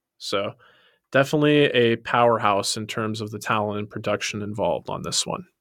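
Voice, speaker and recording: With an ordinary speaking voice at a medium pitch, a man talks at a fairly quick pace with ordinary pitch variation in a very clean recording with a silent background. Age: 30s. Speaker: podcast co-host. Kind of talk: casual chat; sales pitch.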